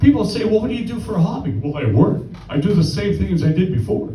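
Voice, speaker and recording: A man with a high pitch speaks at a moderate pace amid audible room echo. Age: 60s. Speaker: amateur stand-up comedian. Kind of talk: stand-up. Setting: stage with audience.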